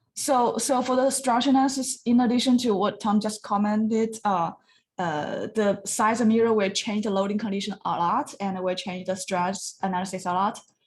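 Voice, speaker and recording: The speaker is a woman with a fairly high pitch and a somewhat breathy voice. She keeps a moderate pace with ordinary pitch variation. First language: not English. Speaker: design review judge. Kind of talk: design review feedback. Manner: halting.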